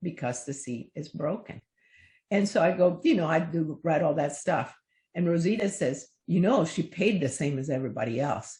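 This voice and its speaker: Somewhat breathy, a woman with a very deep, low pitch and a dark, mellow tone speaks at a moderate pace with lively intonation. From Cuba. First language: Spanish. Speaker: children's book author. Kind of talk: interview.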